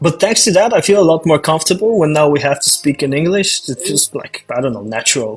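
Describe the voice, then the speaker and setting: Someone with a Bulgarian accent talks very fast with lively intonation. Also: man, fairly high pitch for a man. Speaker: author. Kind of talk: casual chat.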